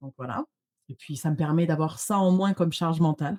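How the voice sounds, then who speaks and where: Over a quiet background, a woman speaks very fast with lively intonation. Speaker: social media visibility trainer; guest. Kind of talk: interview conversation. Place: home room. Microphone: studio mic.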